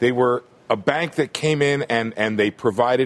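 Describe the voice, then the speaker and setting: At a fairly slow pace, a man speaks in an unremarkable speaking voice at medium pitch. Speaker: economics reporter. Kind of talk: live TV news panel.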